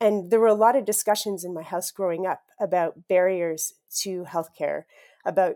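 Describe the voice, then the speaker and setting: In a Canadian accent, a plain, everyday voice moves at a moderate pace with fairly even intonation. The recording is very clean with a silent background and a dry, close sound with no echo. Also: woman. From Saskatchewan, Canada. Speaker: freelance journalist. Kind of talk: interview.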